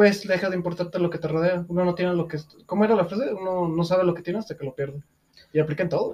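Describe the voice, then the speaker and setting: A man with a Mexican accent talks very fast in a high voice with fairly even intonation. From Mexico. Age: 20s. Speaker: podcast co-host. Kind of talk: casual chat.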